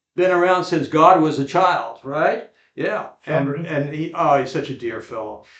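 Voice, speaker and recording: A man speaks at a fairly slow pace in a normal speaking voice. His pitch sits fairly high. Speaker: podcast host. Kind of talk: interview questions, casual.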